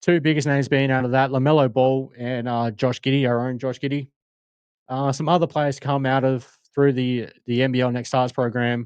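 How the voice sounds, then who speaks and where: Talking at a moderate pace, a man with an Australian accent has a medium pitch and monotone, flat intonation. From Australia, Adelaide. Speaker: sports podcast host. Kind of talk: casual podcast monologue. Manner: halting, many fillers.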